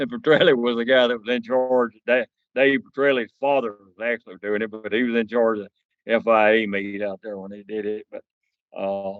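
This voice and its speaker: Speaking fairly quickly with a Southern US accent, the voice keeps a fairly even intonation but swings widely in loudness. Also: man, medium pitch for a man. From US South, northeast Mississippi. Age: 70s. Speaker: land speed racer and car collector. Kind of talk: podcast interview. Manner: halting, many fillers.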